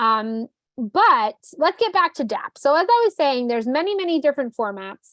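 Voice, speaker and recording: The pitch swings very widely at a moderate pace, in a New Jersey accent. The sound is dry and close, with no echo. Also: woman, high pitch for a woman. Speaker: trainer. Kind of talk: online training session. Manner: casual, many fillers.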